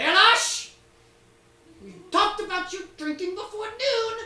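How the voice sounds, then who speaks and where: A shrill, female-sounding put-on character voice at an extremely high pitch moves at a fairly slow pace. There is slight echo on the recording. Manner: scolding, calling from another room.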